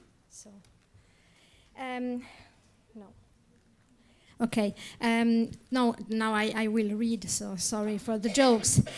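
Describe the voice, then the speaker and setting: A woman with an Italian accent at a very slow pace, fairly high pitch, monotone, flat intonation, big swings in loudness, and long, frequent pauses. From Italy. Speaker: academic lecturer. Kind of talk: reading aloud a paper. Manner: halting, many fillers.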